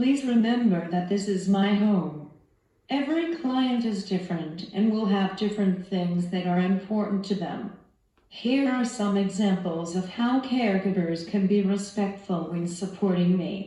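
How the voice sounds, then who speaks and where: The voice moves at a fairly slow pace with ordinary pitch variation, and audible room echo surrounds it. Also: woman. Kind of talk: scripted instructional talk.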